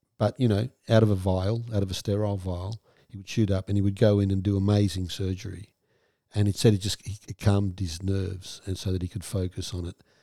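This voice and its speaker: Over a silent background in a very clean recording, the voice comes through dry and close with no echo, dark and mellow in tone, somewhat breathy, flat and monotone, at a fairly quick pace with big swings in loudness. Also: man, fairly low pitch for a man. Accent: Australian. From Western Australia. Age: 60s. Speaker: trauma therapist and podcast host. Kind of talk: casual interview chat.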